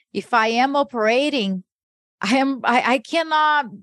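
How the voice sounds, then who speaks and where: A woman with a Portuguese accent speaks against a quiet background. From Brazil. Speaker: podcast co-host. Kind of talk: casual interview chat.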